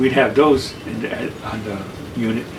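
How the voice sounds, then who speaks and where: A man speaks with an American accent and ordinary pitch variation. Noticeable background noise is present. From New York City. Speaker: army veteran, mental health worker, artist. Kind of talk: oral history interview answer.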